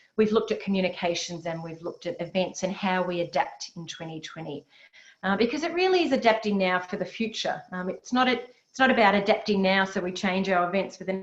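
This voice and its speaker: A woman's normal speaking voice at medium pitch, with ordinary pitch variation and a fairly quick pace. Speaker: webinar host. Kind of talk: webinar presentation. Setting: webinar.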